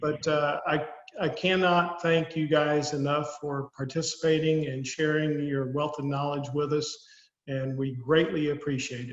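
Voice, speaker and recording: A man with a Southern US accent speaks at a fairly slow pace. His intonation is monotone and flat. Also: fairly high pitch for a man. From US South. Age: old. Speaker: financial advisor hosting a webinar. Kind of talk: webinar closing remarks. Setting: online webinar. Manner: frequent hesitations with uh.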